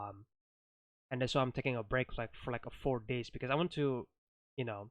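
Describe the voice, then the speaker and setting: The pitch of this man is medium. He talks very fast. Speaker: YouTuber. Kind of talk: casual vlog talk. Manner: halting, many fillers.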